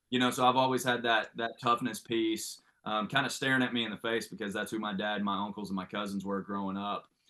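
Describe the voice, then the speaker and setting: In an American accent, a man talks at a very fast pace with hardly any pauses. His pitch is medium and his intonation fairly even. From Oklahoma, rural Ada area. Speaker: baseball coach. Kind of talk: podcast interview.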